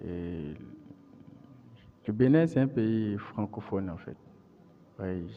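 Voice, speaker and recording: In a Beninese accent, a man speaks very slowly at a fairly low pitch with ordinary pitch variation. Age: 30s. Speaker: interviewee, computer science graduate. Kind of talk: interview. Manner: halting, frequent repetitions.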